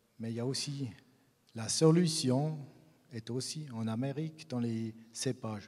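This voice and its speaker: At a fairly slow pace, a man with a Swiss German accent speaks with ordinary pitch variation. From Switzerland, German-speaking region. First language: Swiss German (speaking French). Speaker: grape breeder. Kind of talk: conference talk. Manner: halting, many hesitations.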